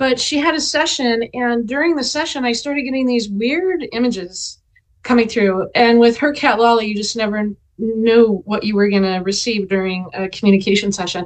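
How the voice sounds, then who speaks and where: This woman has a normal speaking voice with a fairly high pitch. Her intonation is lively and her pace is moderate. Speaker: animal sanctuary founder and author. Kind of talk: interview. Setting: video call.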